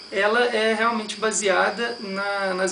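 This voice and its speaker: Someone with a Brazilian accent speaks over noticeable background noise. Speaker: meditation teacher. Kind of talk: lecture.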